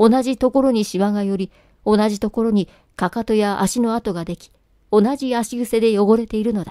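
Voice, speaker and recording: A woman's fairly high, dark, mellow voice at a moderate pace, fairly even in intonation yet with big swings in loudness, on a very clean recording with a silent background and a dry, close sound with no echo. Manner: formal, literary diction, earnest and intimate when addressing the wife in the letter.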